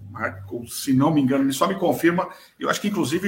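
A man speaks at a fairly quick pace. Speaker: podcast host on electrical safety. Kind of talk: live-streamed casual chat. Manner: hesitant, many fillers.

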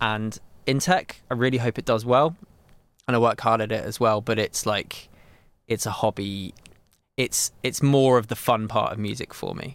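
In a southern English accent, a man talks at a moderate pace and medium pitch with fairly even intonation. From England, Milton Keynes. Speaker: studio owner and drummer. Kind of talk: casual interview chat.

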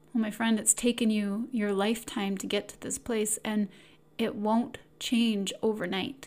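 Somewhat breathy and calm, soothing in tone, a woman speaks at a fairly high pitch with monotone, flat intonation. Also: fairly slow pace. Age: 40s. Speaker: podcast host, self-help coach. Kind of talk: solo self-help talk.

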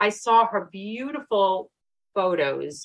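A woman with a Brooklyn accent talks with lively intonation and a bright, sharp tone. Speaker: podcast co-host. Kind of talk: casual interview chat.

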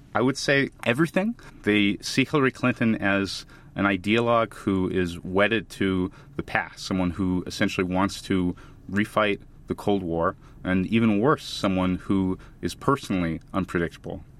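In an American accent, a man with an ordinary speaking voice talks at a moderate pace with a fairly low pitch and ordinary pitch variation. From United States. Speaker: foreign policy researcher. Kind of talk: interview.

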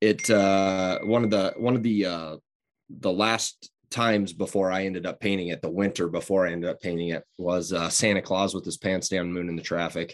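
With a Midwestern American accent, a man speaks in a very deep, low voice. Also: moderate pace. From Southwest Iowa. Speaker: muralist. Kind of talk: interview. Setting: video call. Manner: halting.

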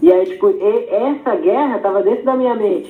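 The pitch swings very widely at a moderate pace. Noticeable background noise and audible room echo are present. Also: man. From Pelotas, Rio Grande do Sul, Brazil. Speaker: skateboarder. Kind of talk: casual interview.

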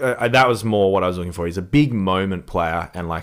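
A man speaks with an Australian accent. His pitch is very deep and low, with ordinary pitch variation. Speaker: sports podcast co-host. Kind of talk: casual sports chat. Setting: studio. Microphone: new microphone setup.

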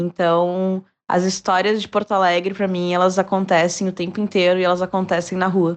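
A woman talks with monotone, flat intonation. The background is quiet. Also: medium pitch for a woman, moderate pace. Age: 20s. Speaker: social media influencer. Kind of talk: interview answer.

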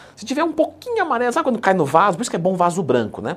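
His tone is animated. This man's pitch rises and falls over a very wide range. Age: 30s. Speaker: fitness coach YouTuber. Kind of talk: tutorial. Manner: casual, animated.

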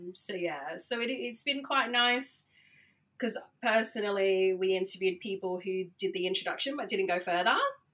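With an Australian accent, a woman speaks at a moderate pace in a medium pitch, her intonation lively. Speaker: DJ and radio founder. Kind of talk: casual interview.

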